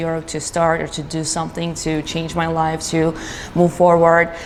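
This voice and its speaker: A woman's fairly low, flat monotone over noticeable background noise. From Georgia (country). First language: Georgian. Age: 20s. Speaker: business owner. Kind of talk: interview. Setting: studio. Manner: halting, with many fillers.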